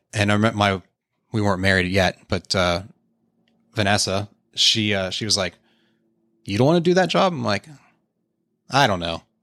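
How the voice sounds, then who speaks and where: A man with an American accent, fairly low in pitch, bright and sharp in tone, talking at a very fast pace over a very clean recording with a silent background. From Pittsburgh, Pennsylvania. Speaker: motocross team manager. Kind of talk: casual interview. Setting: in-person studio.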